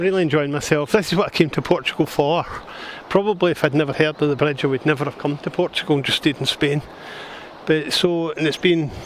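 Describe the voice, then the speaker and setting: A man with a Scottish accent talks at a fairly quick pace in a fairly high pitch. His intonation stays fairly even over noticeable background noise. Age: 60s. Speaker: retired travel vlogger. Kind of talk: casual travel vlog narration. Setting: outdoors on a walkway. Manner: casual, halting with restarts.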